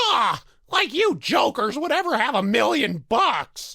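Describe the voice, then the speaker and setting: Using a put-on character voice, a man speaks at a fairly slow pace with extremely high pitch. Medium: video game. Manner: chatty, rambling, hesitant.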